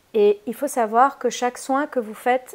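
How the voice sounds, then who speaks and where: In a Spanish accent, a woman speaks with a fairly high pitch, a bright, sharp tone, and fairly even intonation. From Spain. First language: Spanish (speaking French). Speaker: holistic therapist. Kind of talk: casual video introduction; reading aloud. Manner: hesitant, many fillers.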